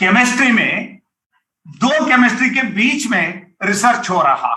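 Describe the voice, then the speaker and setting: A man's raised, projected voice with a bright, sharp tone and lively intonation. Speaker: university vice-chancellor, Hindi professor. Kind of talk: formal speech at academic launch event. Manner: halting, with fillers.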